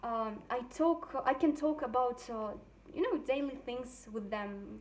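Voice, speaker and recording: A woman speaks in a high voice. Her pace is fairly slow, with ordinary pitch variation. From Russia. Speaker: language student. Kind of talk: testimony. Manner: halting, many fillers.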